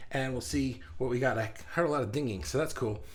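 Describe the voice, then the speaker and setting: A man speaks at a fairly quick pace with a medium pitch and vocal fry. There is audible room echo. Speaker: livestream host for artists. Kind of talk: live stream chat. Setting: home office. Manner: fast; animated.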